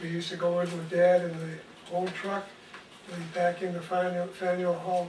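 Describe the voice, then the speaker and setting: In a Boston accent, a high-pitched man speaks at a fairly slow pace, with noticeable background noise and audible room echo around him. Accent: Boston-area New England. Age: 80s+. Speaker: retired nursery owner. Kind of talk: interview. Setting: at home.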